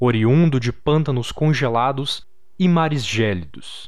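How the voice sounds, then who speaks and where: A man with a fairly high pitch takes a dramatic tone at a fairly slow pace, his pitch varying in an ordinary way. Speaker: storyteller narrating a horror tale. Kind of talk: dramatic horror narration read aloud. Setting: campfire-style storytelling with background audio. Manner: slow, suspenseful, gravely dramatic.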